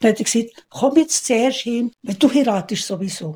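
A woman with a Swiss accent, somewhat breathy, with a dark, mellow tone, fairly high pitch, ordinary pitch variation and a fairly quick pace. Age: 80s+. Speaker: retired housekeeper. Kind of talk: interview.

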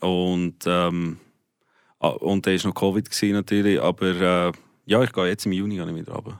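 Very deep and low, the man's pitch holds fairly even intonation. The recording is very clean, with a silent background. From South Africa. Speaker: rock musician. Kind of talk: radio interview.

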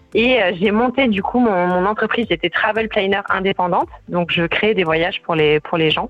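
Medium-pitched woman at a moderate pace, with ordinary pitch variation, very even loudness, and music in the background. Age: 20s. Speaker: life coach. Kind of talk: radio interview. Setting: phone call.

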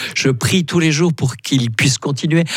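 With an ordinary speaking voice, a man talks at a moderate pace and a fairly high pitch, with ordinary pitch variation. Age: 60s. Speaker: priest and theology professor. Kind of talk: radio interview. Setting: studio.

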